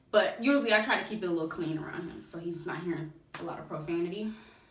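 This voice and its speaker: Talking at a fairly quick pace, a woman with a fairly low pitch uses lively intonation amid audible room echo. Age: 20s. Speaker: music review youtuber. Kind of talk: casual vlog. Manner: halting.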